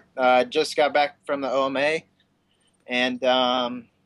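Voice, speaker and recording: A man with a plain, everyday voice speaks fairly slowly at a fairly high pitch, with a dry, close sound and no echo. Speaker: racer. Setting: video call.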